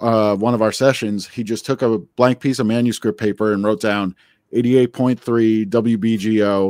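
A man with an American accent, an ordinary speaking voice, fairly slow pace and fairly even intonation, dry and close with no echo, on a very clean recording with a silent background. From New Jersey. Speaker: musician and bandleader. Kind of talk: interview.

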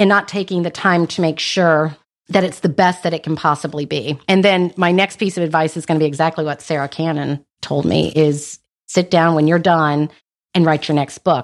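In a very clean recording with a silent background, a woman with an American accent has an unremarkable speaking voice, a fairly low pitch, a moderate pace and fairly even intonation. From North Carolina. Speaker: author. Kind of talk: interview.

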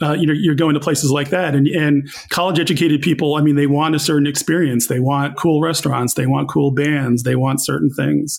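A man with an American accent and an unremarkable speaking voice talks at a fairly quick pace in a fairly high pitch, with hardly any pauses, very even loudness and fairly even intonation. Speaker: newspaper columnist and author. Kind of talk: interview conversation.

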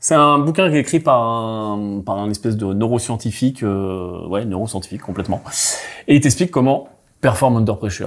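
Here a man uses an ordinary speaking voice at medium pitch, with lively intonation and a moderate pace, in a very clean recording with a silent background. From Brittany, France. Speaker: podcast host. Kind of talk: casual business panel chat.

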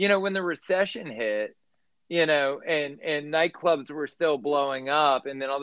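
A man with an American accent has an unremarkable speaking voice. His pitch is fairly high and his pace moderate. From US South, Baton Rouge, Louisiana. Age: 40s. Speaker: restaurant owner. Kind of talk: casual chat.

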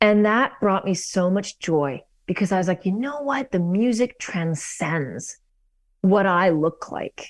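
Music in the background behind a woman with a Canadian accent, medium in pitch, lively in intonation, at a fairly slow pace. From Canada, Vancouver. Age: 40s. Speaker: singer-songwriter and pianist. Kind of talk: casual interview. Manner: halting, with frequent repeats.

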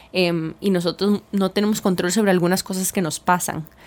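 An ordinary speaking voice moves along at a fairly slow pace. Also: woman. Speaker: podcast co-host. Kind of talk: casual chat. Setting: radio broadcast.

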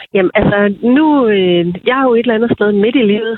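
This woman's pitch shifts in an ordinary way. She keeps a fairly quick pace. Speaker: TV programme participant. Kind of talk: interview. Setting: phone call.

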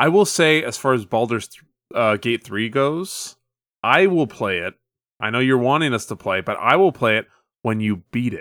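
On a very clean recording with a silent background, dry and close with no echo, a man in an ordinary speaking voice talks at medium pitch and a moderate pace with lively intonation. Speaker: podcast co-host. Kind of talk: casual chat.

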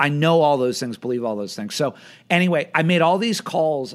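Fairly high in pitch and lively in intonation, a man speaks fairly quickly in an ordinary speaking voice. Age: 40s. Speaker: film screening company executive. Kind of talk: casual interview. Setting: video call.

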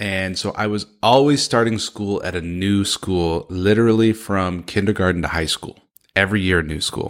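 A man with an ordinary speaking voice talks at a moderate pace, his pitch fairly low and its variation ordinary. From San Francisco, California. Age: 30s. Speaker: motivational speaker and coach. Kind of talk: interview podcast.

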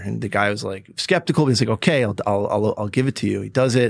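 A man with a New York State accent at a very fast pace, medium in pitch with ordinary pitch variation, on a very clean recording with a silent background. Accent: American, New York State. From New York State, Woodstock. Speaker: startup founder and CEO. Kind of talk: casual interview.

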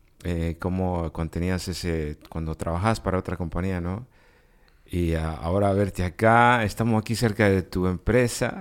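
A man's very deep, low voice moves at a moderate pace with ordinary pitch variation, captured in a very clean recording over a silent background. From Guatemala, raised in the US. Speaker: podcast co-host. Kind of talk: interview.

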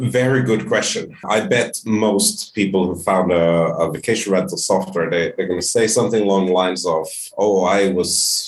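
With a Finnish accent, a man speaks at a moderate pace in a fairly low pitch, using ordinary pitch variation and very even loudness. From Finland. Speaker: short-term rental industry specialist. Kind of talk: interview conversation. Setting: video call.

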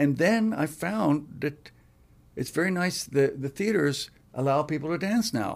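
A man's plain, everyday voice at a fairly high pitch, fairly slow in pace, with lively intonation. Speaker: musician. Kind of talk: casual interview.

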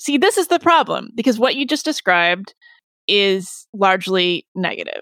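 A woman at a medium pitch, fairly slow, an unremarkable speaking voice, dry and close with no echo, on a very clean recording with a silent background. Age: 50s. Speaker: author and podcast host. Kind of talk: interview.

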